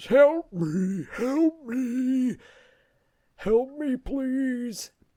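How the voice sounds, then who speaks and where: A put-on character voice sounds guttural and sits at a fairly high pitch. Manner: pleading.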